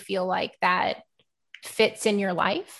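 A woman with an American accent talks in a medium pitch with fairly even intonation, an ordinary speaking voice. The background is quiet. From Texas, Houston. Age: 30s. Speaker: ADHD coach for moms, podcaster. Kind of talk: interview.

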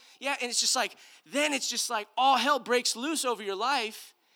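A raised, projected voice with a bright, sharp tone comes at a moderate pace in an American accent, the delivery animated and the intonation lively. The recording is very clean with a silent background. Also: man. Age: 30s. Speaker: pastor. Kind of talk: sermon. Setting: church with congregation.

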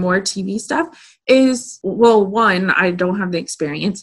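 A somewhat breathy woman at medium pitch speaks at a very slow pace. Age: 30s. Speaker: podcast host and manifestation coach. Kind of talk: casual interview chat.

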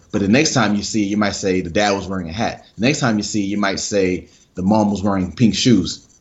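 Speaking with an American accent, a man talks at a fairly quick pace in a normal speaking voice. His pitch is fairly low, with ordinary variation. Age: 20s. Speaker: sports psychologist. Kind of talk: podcast interview.

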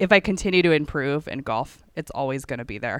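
Woman with an American accent, a very deep, low pitch, lively intonation, and a fairly quick pace in a very clean recording with a silent background. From Northern Virginia. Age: 30s. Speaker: amateur golfer. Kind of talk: interview.

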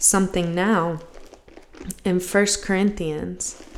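A woman with an American accent speaks very slowly at a medium pitch. Her pitch varies in an ordinary way. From US. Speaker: podcast host, missionary. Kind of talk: solo podcast monologue, devotional talk.

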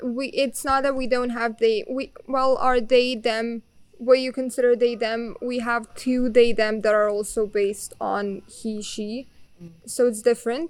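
A woman with a Bosnian accent talks at a fairly slow pace and a high pitch. Her intonation is flat and monotone, while her loudness swings widely. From Bosnia and Herzegovina. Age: young. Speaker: exchange student. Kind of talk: casual interview.

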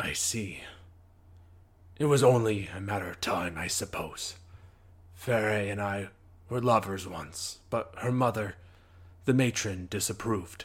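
A man with a raspy, fairly low voice sounds weary. He moves at a moderate pace with long, frequent pauses. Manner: grave, weary, quietly sincere.

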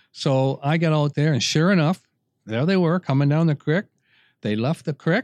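A man with a Canadian accent speaks at a moderate pace in a fairly high pitch and a dark, mellow tone. The sound is dry and close with no echo, over a quiet background. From Canada. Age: 70s. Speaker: podcast co-host and veteran hunter. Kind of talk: casual storytelling.

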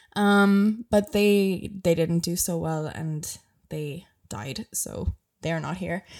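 A woman's fairly low voice with a slight Irish accent, at a very slow pace with ordinary pitch variation. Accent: mild Irish. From Ireland. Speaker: travel podcast host. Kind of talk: casual solo podcast monologue. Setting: home bedroom, video recording. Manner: chatty, laughs often.

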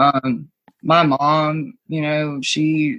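A woman's very deep, low voice with an American accent. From US East Coast, rural small town. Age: 20s. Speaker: guest sharing life story. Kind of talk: personal testimony. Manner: halting, many fillers.

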